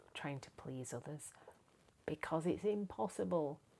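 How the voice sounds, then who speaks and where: Lively intonation marks this woman's speech, delivered with an English accent. Her tone is dark and mellow. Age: 60s. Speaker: lifestyle vlogger. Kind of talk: casual monologue to camera. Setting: home, camera propped on packing box. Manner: hesitant, many fillers.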